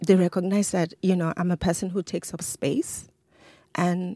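The voice is somewhat breathy with a dark, mellow tone. The sound is dry and close with no echo, in a very clean recording with a silent background. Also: woman. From Lagos, Nigeria. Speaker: storyteller. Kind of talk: storytelling on stage; interview conversation. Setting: stage with audience.

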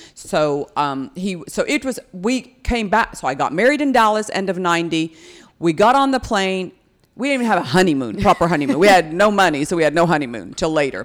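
A woman with an American accent at medium pitch, very wide pitch swings and a fairly quick pace, on a very clean recording with a silent background. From United States. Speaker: podcast guest, host's mother. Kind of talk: casual chat.

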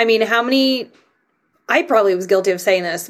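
Here is a woman with an unremarkable speaking voice and an American accent. Her intonation is lively and her pace fairly quick. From Canada, then US from seventh grade. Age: 40s. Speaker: trainer and nutrition practitioner. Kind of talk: casual chat.

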